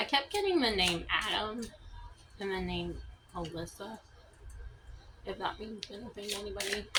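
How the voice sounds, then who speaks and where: A woman is mumbling. She talks at a moderate pace. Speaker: tarot reader. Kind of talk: tarot reading. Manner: casual, halting.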